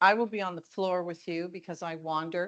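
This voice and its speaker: An ordinary speaking voice with a Canadian accent, at a fairly slow pace with fairly even intonation, over a quiet background. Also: woman. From Ontario, Canada. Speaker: keynote speaker, perfumer. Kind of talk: keynote presentation. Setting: conference stage with audience.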